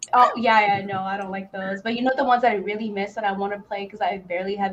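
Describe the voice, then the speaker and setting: Against noticeable background noise, a woman with a medium pitch talks at a very fast pace with fairly even intonation. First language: not English. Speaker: podcast guest, gaming fan. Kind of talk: casual chat. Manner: halting.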